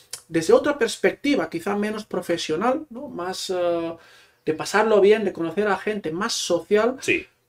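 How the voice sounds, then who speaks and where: A man with a Catalan accent speaks in a high pitch. His pace is fairly slow and his pitch variation ordinary. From Catalonia, small town near Barcelona. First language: Catalan (speaking Spanish). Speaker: Spanish teacher and author. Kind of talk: casual interview.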